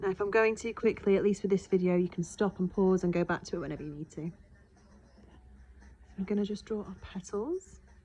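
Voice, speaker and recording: Speaking fairly quickly with long, frequent pauses, a woman with a British accent has a dark, mellow tone and fairly even intonation. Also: medium pitch for a woman. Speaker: art teacher. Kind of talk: tutorial. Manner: fast.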